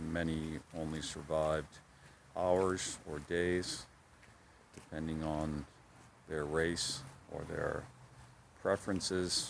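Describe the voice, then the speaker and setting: A man with an American accent speaks at a very slow pace, with long, frequent pauses. His very deep, low voice stays monotone and flat. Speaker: cycling travel vlogger. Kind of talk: reflective video diary. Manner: low, subdued.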